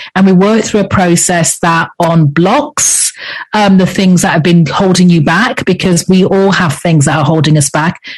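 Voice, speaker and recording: Speaking in an English accent at a moderate pace, the voice shows ordinary pitch variation against noticeable background noise. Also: woman. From England. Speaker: leadership coach. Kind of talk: interview.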